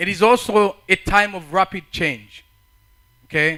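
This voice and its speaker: A man's high-pitched, raised and projected voice, bright and sharp in tone, with ordinary pitch variation. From Africa. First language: not English; English is fourth language. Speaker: conference speaker. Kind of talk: talk to youth audience. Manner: halting, repeats words.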